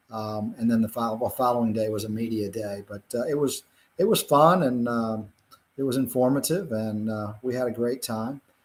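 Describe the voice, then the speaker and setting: A man with a Virginia accent at a medium pitch and a moderate pace, with ordinary pitch variation. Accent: US Southern (Virginia). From Virginia, rural Blue Ridge foothills. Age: 60s. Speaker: physician and cattle farmer. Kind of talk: interview. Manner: halting, many fillers.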